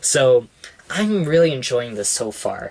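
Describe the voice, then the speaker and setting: At a fairly slow pace, a man delivers his words. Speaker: vlogger. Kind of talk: casual vlog chat. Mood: upbeat, enjoying it. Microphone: phone near.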